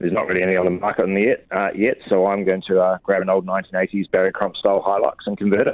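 In a New Zealand accent, a man with a fairly low pitch rattles along at a very fast pace in a monotone, flat intonation, with hardly any pauses. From New Zealand, Wellington. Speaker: orchard owner. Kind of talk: interview.

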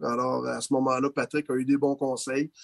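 A man with a Quebec accent, in a dry, close sound with no echo. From Quebec, Laval. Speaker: assistant hockey coach. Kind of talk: interview. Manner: halting.

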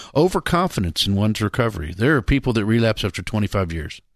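A man's voice comes through dry and close, with no echo. The background is quiet. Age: 60s. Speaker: pastor and radio host in addiction recovery. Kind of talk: radio talk show. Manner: animated.

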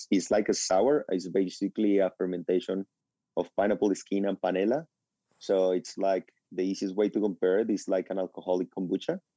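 With a Spanish accent, a man speaks at a fairly quick pace in a fairly low, dark, mellow voice, his intonation fairly even and his loudness very even, in a dry, close sound with no echo. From Colombia. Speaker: chef and restaurateur. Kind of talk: radio interview. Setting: phone call.

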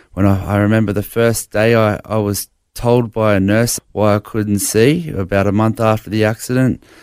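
In a very clean recording with a silent background and a dry, close sound free of echo, a man with an Australian accent speaks at a fairly low pitch with fairly even intonation. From Brisbane, Australia. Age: 40s. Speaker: blind bodybuilder sharing faith story. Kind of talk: interview testimony. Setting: studio.

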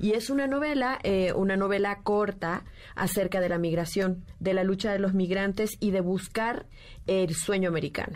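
Using an unremarkable speaking voice, a woman talks at medium pitch and a moderate pace, with ordinary pitch variation and very even loudness. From Nicaragua. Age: 50s. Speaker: writer. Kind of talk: radio interview. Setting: radio studio.

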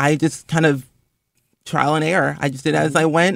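A man speaks at a moderate pace in a plain, everyday voice with fairly high pitch. The recording is very clean, with a silent background. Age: 20s. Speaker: influencer and gaming content creator. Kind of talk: interview.

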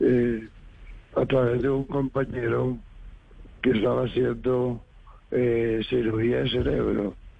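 The delivery moves at a very slow pace with long, frequent pauses. Loudness stays very even throughout. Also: man. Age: 80s+. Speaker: doctoral candidate, engineer. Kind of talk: interview. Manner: halting.

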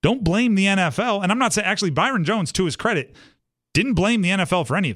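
Over a silent background in a very clean recording, a man talks at a very fast pace with high pitch and lively intonation. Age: 30s. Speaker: sports radio host. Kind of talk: sports talk radio.

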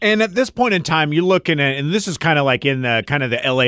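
A man's very fast speech with lively intonation. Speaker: radio host. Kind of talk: casual chat.

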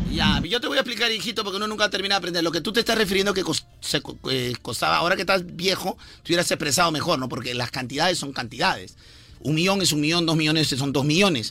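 Over music in the background, a man talks at a very fast pace with a high pitch and lively intonation. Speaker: radio morning show host. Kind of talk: casual comedic morning radio chat.

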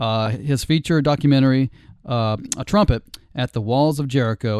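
This man has a normal speaking voice, with medium pitch, ordinary pitch variation and a fairly quick pace. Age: 40s. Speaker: podcast host. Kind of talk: casual chat. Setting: studio.

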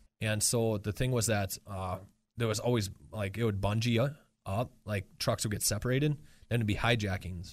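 In a very clean recording with a silent background, a man with an American accent speaks in a plain, everyday voice at a moderate pace, his fairly low pitch held in fairly even intonation. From Wisconsin, Marinette. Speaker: war veteran. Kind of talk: interview. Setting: studio.

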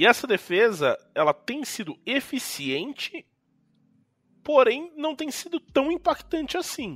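Recorded very cleanly with a silent background and a dry, close sound with no echo, a man speaks very slowly at an extremely high pitch, with lively intonation and big swings in loudness. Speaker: sports podcast host. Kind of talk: casual sports chat.

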